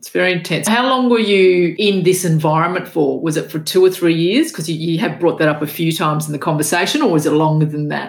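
In an Australian accent, a woman with a fairly low voice speaks very fast, hardly pausing, with ordinary pitch variation. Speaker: podcast host. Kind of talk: interview.

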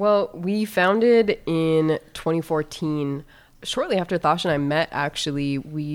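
A woman with a plain, everyday voice and an American accent speaks at a fairly low pitch with ordinary pitch variation, in a very clean recording with a silent background. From US Midwest, North Dakota. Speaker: wellness advocate and journalist. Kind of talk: casual interview.

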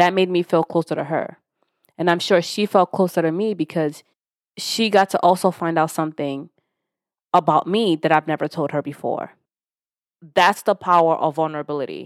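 A woman with a Yoruba accent speaks at a fairly low pitch with fairly even intonation and long, frequent pauses, in a dry, close sound with no echo on a very clean recording with a silent background. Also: moderate pace. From born in Nigeria, raised in an English-speaking country from age 9. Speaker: podcast host. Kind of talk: solo podcast monologue on self-development.

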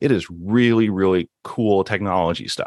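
Here is a man with an ordinary speaking voice, fairly low in pitch with ordinary pitch variation. The background is quiet. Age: 40s. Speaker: former teacher turned cloud engineer. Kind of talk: interview.

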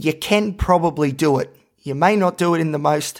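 The recording is very clean and the background silent. A man delivers his words fairly slowly. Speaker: podcaster and psychology student. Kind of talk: solo podcast monologue about personal mental health. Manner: loud and animated when well, conversational; soft-spoken and subdued when depressed or stressed.

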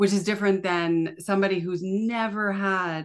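A woman with a Canadian accent speaks in an unremarkable speaking voice at a moderate pace, her intonation fairly even against a quiet background. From Canada. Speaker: chronic pain coach and family routine educator. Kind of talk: casual interview chat.

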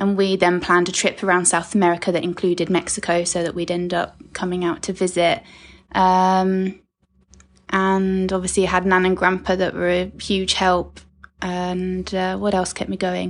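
Against a quiet background, a woman with a southern English accent speaks at a moderate pace in a medium pitch, her intonation monotone and flat. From southern England (Sussex). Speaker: guest, host's stepdaughter. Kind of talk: casual interview.

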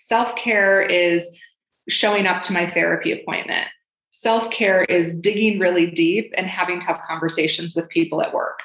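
At a fairly slow pace, this clip carries a normal speaking voice with ordinary pitch variation. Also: woman. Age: 40s. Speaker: divorce and career coach. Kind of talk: podcast interview.

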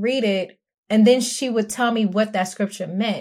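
A woman speaks in a fairly high voice with a New York accent. The recording is very clean, with a silent background. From Brooklyn, New York. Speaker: spouse of former Jehovah's Witness. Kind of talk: casual interview.

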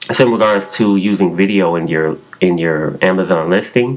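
A man speaks in a very deep, low voice while noticeable background noise carries on around him. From Chicago. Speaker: caller leaving voicemail question. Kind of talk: recorded voicemail question. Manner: halting, many fillers.

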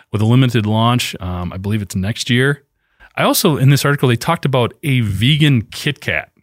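An unremarkable speaking voice from a man, medium in pitch with lively intonation, at a fairly quick pace, in a dry, close sound with no echo. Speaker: trade journalist, co-host. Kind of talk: casual chat, live podcast.

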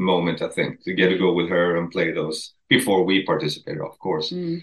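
A man with a Swedish accent, very deep and low in pitch, at a fairly quick pace. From Sweden. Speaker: country musician. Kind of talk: interview.

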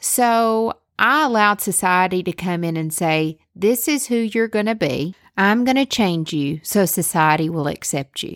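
Speaking fairly slowly with a Southern US accent, a woman uses lively intonation at a medium pitch, in a very clean, dry, close recording with a silent background and no echo. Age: 30s. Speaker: podcast host. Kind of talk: personal storytelling monologue. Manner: animated.

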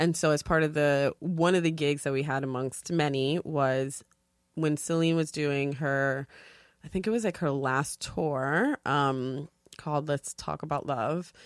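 Someone with a New York accent speaks with fairly even intonation on a very clean recording with a silent background and a dry, close sound with no echo. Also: woman. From New York, South Bronx. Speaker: TV production freelancer. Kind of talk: casual chat. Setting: studio.

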